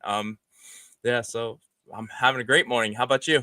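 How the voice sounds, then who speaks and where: A man speaks with a bright, sharp tone. His pace is moderate. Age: 40s. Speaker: gecko breeder. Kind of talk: casual chat. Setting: live stream.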